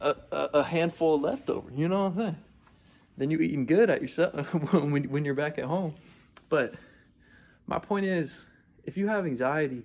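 Long, frequent pauses break up speech delivered at a moderate pace with ordinary pitch variation. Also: man. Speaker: vlogger. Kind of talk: casual vlog chat. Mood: relaxed, sometimes laughing. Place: hall. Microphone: phone near.

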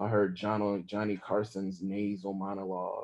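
A dark, mellow tone with an American accent. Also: man. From Southern US, Mississippi. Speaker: author. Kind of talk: memoir reading at a live event. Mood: somber, intimate. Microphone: video call.

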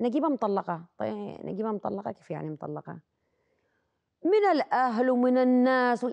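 A woman speaks at a moderate pace in a dry, close sound with no echo and a quiet background. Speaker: actress and singer. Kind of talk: casual chat.

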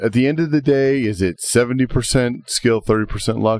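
A man with a medium pitch talks at a fairly quick pace in an ordinary speaking voice. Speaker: fishing podcast host. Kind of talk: casual chat.

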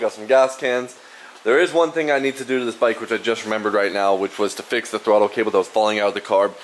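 Very fast male speech with ordinary pitch variation over light background noise. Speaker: scooter enthusiast vlogger. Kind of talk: casual vlog chat. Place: garage. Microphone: phone near.

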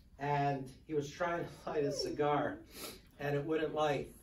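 Noticeable background noise is present. The voice is a man's. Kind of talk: eulogy. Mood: emotional, fond storytelling. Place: meeting room. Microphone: camera far.

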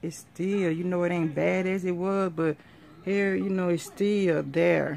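A woman's tired-sounding voice at a moderate pace over light background noise. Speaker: vlogger. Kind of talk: casual vlog chat. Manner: tired, ailing voice with a headache. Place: home room. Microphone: phone near.

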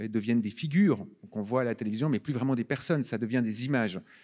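Against a quiet background, a man speaks with a dark, mellow tone. His pitch varies in an ordinary way. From Switzerland. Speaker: film director. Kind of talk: festival Q&A on stage. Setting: stage with audience. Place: hall. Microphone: handheld.

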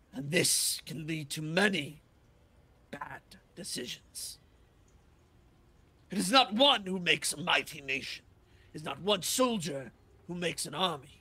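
A put-on character voice from a man, fairly high-pitched and fairly slow. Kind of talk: fantasy roleplay. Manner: wise, fatherly, solemn.

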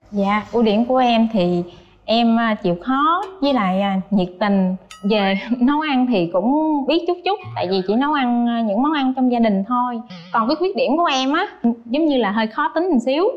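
A woman's high-pitched voice with very wide pitch swings and very even loudness, at a fairly slow pace, faint music in the background. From southern Vietnam, Ba Ria-Vung Tau; southern Vietnam. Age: 30s. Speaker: dating show contestant, office worker. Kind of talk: dating show interview. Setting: TV studio with audience. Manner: hesitant, many fillers. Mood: shy, smiling. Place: studio. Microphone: lapel.

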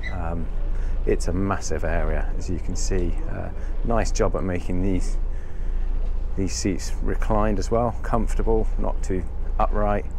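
Amid noticeable background noise, a man speaks at a fairly slow pace with long, frequent pauses. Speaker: yacht reviewer. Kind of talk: boat tour walkthrough. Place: boat. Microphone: phone near.

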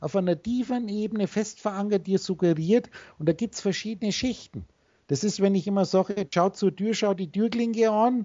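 A woman speaking at a moderate pace with ordinary pitch variation against a quiet background. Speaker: spiritual teacher on a call. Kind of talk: instructive monologue to a call partner. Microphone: video call.

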